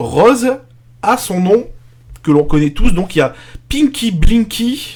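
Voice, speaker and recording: At a very slow pace, a man speaks with a high pitch. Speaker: streamer / arcade show host. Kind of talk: live stream commentary while playing. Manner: loud, projecting voice; casual, with hesitations. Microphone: pop filter too far from mic.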